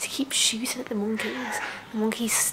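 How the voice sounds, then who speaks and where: A woman talks at a moderate speed as noticeable noise carries on behind her. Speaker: travel vlogger. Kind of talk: casual vlog chat. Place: home room. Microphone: phone near.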